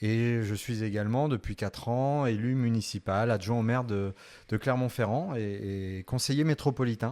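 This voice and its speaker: On a very clean recording with a silent background, a man speaks at medium pitch. His pace is moderate and his pitch variation ordinary. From France, Orléans. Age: 40s. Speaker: law professor and local politician. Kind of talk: interview. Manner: hesitant, many fillers; formal.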